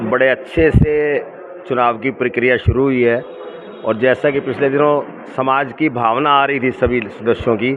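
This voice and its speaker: Medium-pitched male speech over noticeable background noise. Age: 60s. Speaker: lawyer and community leader. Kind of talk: interview.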